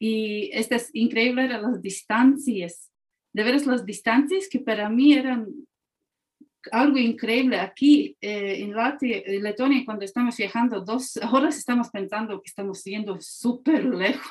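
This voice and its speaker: Speaking at a fairly slow pace in a Latvian accent, a woman has a fairly high pitch and ordinary pitch variation. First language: Latvian (speaking Spanish). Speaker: historian and museum director. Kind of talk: interview.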